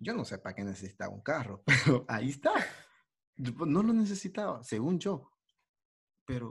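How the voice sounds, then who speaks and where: A somewhat breathy man at a moderate pace, with very wide pitch swings. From El Salvador. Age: young. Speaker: aspiring musician. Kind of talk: casual chat. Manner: animated.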